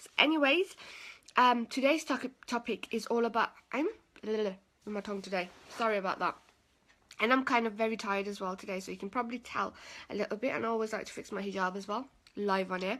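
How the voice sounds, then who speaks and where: Delivered at a very fast pace with long, frequent pauses, the bright, sharp voice shows big swings in loudness and ordinary pitch variation on a very clean recording with a silent background. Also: woman, fairly high pitch for a woman. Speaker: personal development coach. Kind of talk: live stream talk. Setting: live video stream. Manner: low energy.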